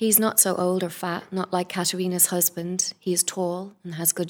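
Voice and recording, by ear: Text read aloud in a natural voice.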